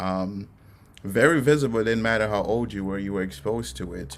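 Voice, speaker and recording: Speaking at a fairly quick pace with lively intonation, a man with a fairly low pitch is heard with audible room echo. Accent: American. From Haiti, then Jamaica, Queens, New York. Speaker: poet. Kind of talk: poetry reading with commentary. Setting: virtual reading. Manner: halting, frequent fillers.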